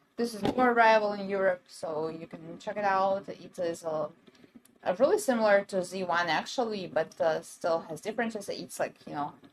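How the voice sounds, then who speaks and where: A woman talks at a medium pitch with ordinary pitch variation. Her loudness swings a lot, and background noise is noticeable. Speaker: brand livestream presenter. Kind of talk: live sales stream. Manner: fast; hesitant, many fillers.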